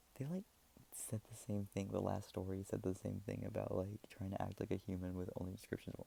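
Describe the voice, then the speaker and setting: The voice is soft-spoken. It moves at a fairly quick pace. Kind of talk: casual off-the-cuff commentary to camera.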